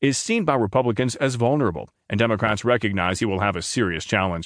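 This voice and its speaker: Over a quiet background, a man at medium pitch talks very fast with lively intonation. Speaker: audiobook narrator of news articles. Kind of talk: formal newsreading of political analysis articles. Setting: studio recording. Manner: steady, measured and neutral news-anchor delivery; formal, articulate reading of dense names and figures.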